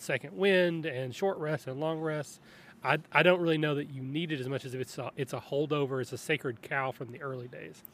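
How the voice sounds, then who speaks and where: A man with an unremarkable speaking voice, fairly high pitch, ordinary pitch variation and a fairly quick pace, in a very clean recording with a silent background. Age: 40s. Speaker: podcast producer and tabletop gamer. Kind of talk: casual chat.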